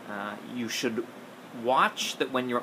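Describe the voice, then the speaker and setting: Noticeable background noise sits under this man's voice. He talks at a fairly quick pace with fairly even intonation. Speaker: skating coach. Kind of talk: casual advice vlog. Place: home room. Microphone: phone near.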